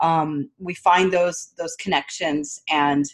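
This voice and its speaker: A woman speaks in a plain, everyday voice with an American accent. Her pitch sits fairly low, with ordinary variation. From US. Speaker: podcast co-host. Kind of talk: casual interview.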